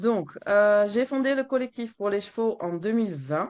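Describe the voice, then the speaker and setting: Against a quiet background, a woman with a Flemish accent talks at a fairly slow pace with lively intonation. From Flanders, Belgium. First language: Dutch (Flemish) (speaking French). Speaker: veterinarian and horse welfare activist. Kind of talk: webinar presentation read from a text. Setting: webinar.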